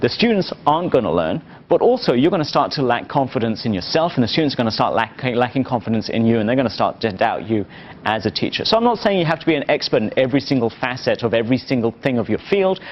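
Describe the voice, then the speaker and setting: The speech comes at a very fast pace with lively intonation. Noticeable background noise is present. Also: man, medium pitch for a man. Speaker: marketing professor. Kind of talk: lecture.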